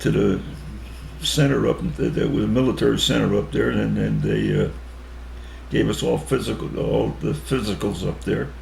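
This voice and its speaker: In an American accent, a man with a very deep, low pitch speaks with fairly even intonation amid audible room echo. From Connecticut, US. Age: 80s+. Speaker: war veteran. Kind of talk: interview. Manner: halting.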